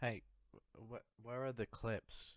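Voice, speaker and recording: Music plays in the background as a man with a British accent speaks at a moderate pace. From UK. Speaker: video essayist. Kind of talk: video essay.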